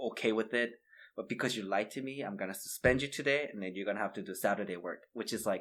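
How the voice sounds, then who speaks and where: A man talks at a very fast pace and fairly low pitch with ordinary pitch variation. The recording is very clean with a silent background. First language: not English. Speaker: podcast co-host. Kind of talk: casual chat. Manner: hesitant, many fillers.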